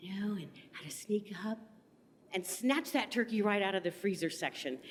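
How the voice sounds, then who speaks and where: At a moderate pace, a woman talks with lively intonation in a medium pitch. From Topeka, Kansas. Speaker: comedy show host and comedian. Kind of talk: stand-up. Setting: stage with audience.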